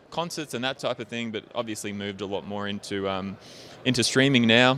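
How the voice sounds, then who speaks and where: A man's medium-pitched voice, bright and sharp, at a fairly quick pace with ordinary pitch variation. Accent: Australian. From Australia. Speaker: software company representative. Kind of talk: interview.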